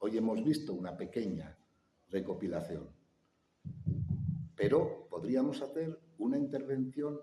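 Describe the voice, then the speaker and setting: Dark, mellow male tones at a fairly slow pace, with lively intonation. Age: 60s. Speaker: conference speaker. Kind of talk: public talk with audience Q&A.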